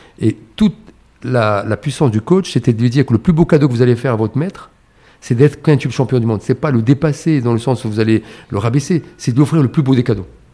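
A man talks at a very fast pace with medium pitch and ordinary pitch variation. His tone is dark and mellow, and somewhat breathy. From Morocco, Casablanca. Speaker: chartered accountant and entrepreneur. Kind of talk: interview conversation. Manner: hesitant, many fillers and repetitions.

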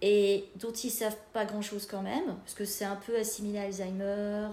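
Fairly even intonation shapes a woman's speech. Room echo can be heard around it. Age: 40s. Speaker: bereaved daughter sharing her experience. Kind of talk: podcast interview, personal testimony.

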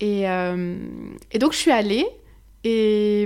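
In a very clean recording with a silent background, a woman speaks at a very slow pace and medium pitch with ordinary pitch variation. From Switzerland. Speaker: psychic medium and former travel agent. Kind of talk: casual chat.

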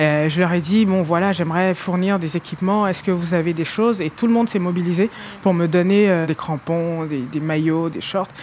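A woman's fairly low-pitched voice comes through noticeable background noise. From Ivory Coast. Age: 30s. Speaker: rugby player. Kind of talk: interview. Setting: stadium, walking around. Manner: calm.

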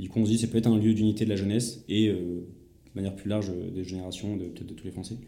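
A man speaks at a very fast pace with a fairly low pitch and a dark, mellow tone. His loudness swings widely, and there is audible room echo. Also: hardly any pauses. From France, Vendée. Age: 20s. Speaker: heritage restoration association founder. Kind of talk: interview. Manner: halting, many repetitions; animated.

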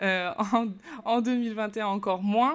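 Ordinary pitch variation marks this woman's voice, which sits at a medium pitch. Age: 30s. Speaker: entrepreneur and business coach. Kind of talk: interview. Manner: hesitant, with frequent fillers.

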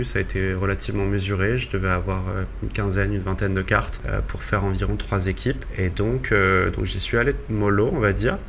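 Fairly quick speech from a man, with audible room echo and noticeable background noise. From Brittany, France. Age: 30s. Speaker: professional poker player. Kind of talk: casual interview.

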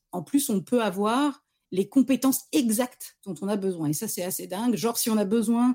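A dark, mellow-toned female voice, fairly high in pitch, at a moderate pace with ordinary pitch variation. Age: 40s. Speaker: freelance marketing director. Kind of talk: casual interview.

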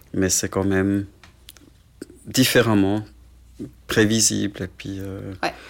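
The voice moves at a very slow pace with flat, monotone intonation. Long pauses come often. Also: man, fairly low pitch for a man. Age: 40s. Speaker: hand surgeon and parent of a child with a muscle disease. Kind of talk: casual interview.

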